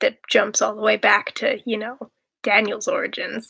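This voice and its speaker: A soft-spoken woman at a fairly slow pace, in a dry, close sound with no echo. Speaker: writer streaming while writing. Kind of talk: casual livestream chat. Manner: quiet, soft-spoken.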